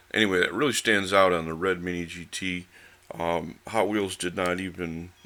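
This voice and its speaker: Very deep and low, this man's voice has a bright, sharp tone. He speaks at a moderate pace with fairly even intonation. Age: 60s. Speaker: diecast model car reviewer. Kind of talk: product review. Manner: casual, hesitant with many fillers.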